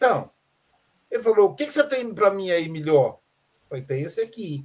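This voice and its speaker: A man talking at a fairly quick pace. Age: 60s. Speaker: philosophy teacher and psychoanalyst. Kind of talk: casual chat.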